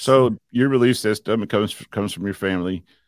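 A man with a normal speaking voice talks at a fairly quick pace and fairly low pitch, with ordinary pitch variation, in a very clean recording with a silent background. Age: 50s. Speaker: podcast host and preacher. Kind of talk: casual chat.

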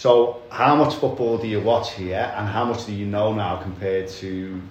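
Noticeable background noise surrounds a man speaking with a Liverpool accent. He keeps a moderate pace with ordinary pitch variation. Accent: Scouse. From Liverpool, England. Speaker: podcast host, football fan. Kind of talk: casual chat.

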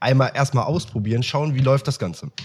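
Somewhat breathy, a man speaks on a very clean recording with a silent background. The sound is dry and close with no echo. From Germany, Aachen. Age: 20s. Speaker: copywriter. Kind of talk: casual interview chat. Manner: hesitant, many fillers.

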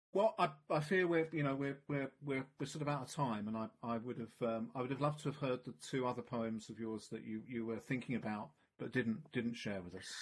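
A man talks at a fairly quick pace in an unremarkable speaking voice. His medium pitch has ordinary pitch variation. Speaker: podcast host. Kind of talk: casual interview.

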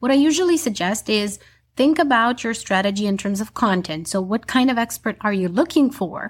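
In a very clean recording with a silent background, a woman talks fairly quickly in a fairly high, somewhat breathy voice. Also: lively intonation. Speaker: public speaking coach and visibility strategist. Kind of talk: professional interview, explaining advice.

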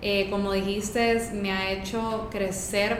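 A woman's very slow, flat, monotone speech in a Honduran accent, with audible room echo and noticeable background noise. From Honduras. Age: 20s. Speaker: social media content creator. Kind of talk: casual chat.

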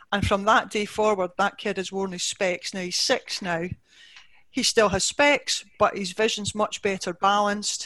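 A woman's bright, sharp tone in a Scottish accent, at a moderate pace. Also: medium pitch for a woman, fairly even intonation. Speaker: optician. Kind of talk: interview.

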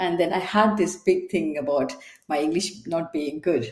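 A woman speaks with a fairly low pitch and a slightly mellow tone. Audible room echo surrounds her voice.

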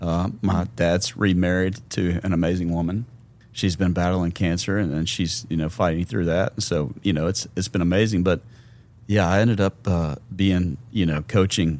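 A man with a Memphis accent speaks at a moderate pace in a very deep, low voice. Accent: Southern US (Memphis). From US South, Memphis, Tennessee. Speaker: guest sharing faith testimony. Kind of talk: testimony.

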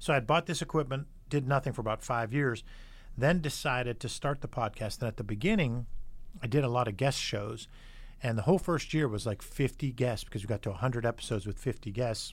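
On a very clean recording with a silent background, a man speaks at a medium pitch with ordinary pitch variation and a somewhat breathy quality. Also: fairly quick pace. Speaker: podcast host. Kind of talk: casual interview with son. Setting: studio.

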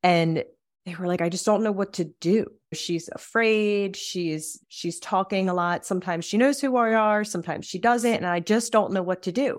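A woman's medium-pitched, plain, everyday voice at a moderate pace with ordinary pitch variation, in a very clean recording with a silent background. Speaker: death doula podcast host. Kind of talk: interview conversation.

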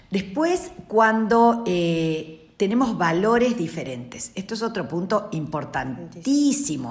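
A woman at a very slow pace with very wide pitch swings and hardly any pauses, over noticeable background noise. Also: medium pitch for a woman. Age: 50s. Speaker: relationship expert. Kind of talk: casual chat.

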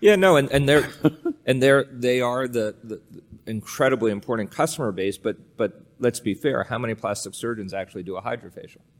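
With an American accent, a man talks at a fairly quick pace in a plain, everyday voice, medium in pitch with ordinary variation. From Pennsylvania, near Allentown. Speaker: pharma executive. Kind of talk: fireside chat interview. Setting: stage with audience.

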